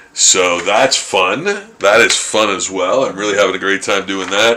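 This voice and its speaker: With noticeable background noise behind him, a man speaks at a moderate speed in a fairly low pitch. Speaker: artist live-streaming drawing. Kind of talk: casual live stream chat while drawing. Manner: halting, many fillers.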